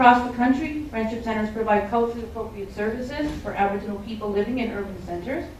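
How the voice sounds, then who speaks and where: Speech comes at a very fast pace with ordinary pitch variation. Noticeable background noise and audible room echo fill the recording. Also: woman. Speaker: friendship centre representative. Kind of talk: panel presentation. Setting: public forum panel. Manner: loud at times; reading from notes.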